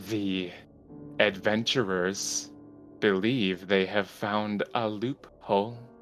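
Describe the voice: Over clear background music, a man does a put-on character voice at a fairly low pitch and a very slow pace.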